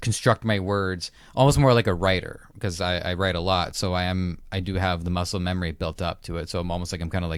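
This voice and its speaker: A man's very deep, low voice at a very fast pace, fairly even in intonation, on a very clean recording with a silent background. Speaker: podcast host. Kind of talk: interview. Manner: stuttering.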